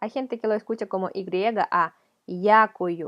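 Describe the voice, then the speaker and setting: A woman with a non-native accent speaks at a medium pitch and a very slow pace. Her intonation stays fairly even. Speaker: language teacher. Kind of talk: tutorial.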